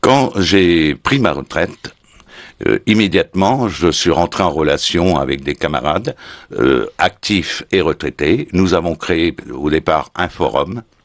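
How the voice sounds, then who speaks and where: A man's very deep, low voice with vocal fry, lively intonation, very even loudness and a very slow pace. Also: dry, close sound with no echo. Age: 70s. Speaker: retired gendarme and website founder. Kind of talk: radio interview. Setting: radio studio. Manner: hesitant with frequent fillers.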